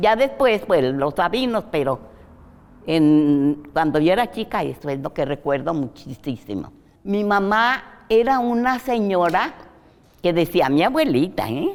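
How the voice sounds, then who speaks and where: Fairly low in pitch, a woman speaks at a fairly slow pace with very wide pitch swings. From Mexico, Jalisco (Atotonilco el Alto). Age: 80s+. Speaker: interview guest recounting her life. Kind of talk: interview, life-story reminiscence. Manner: halting, with fillers and repetitions.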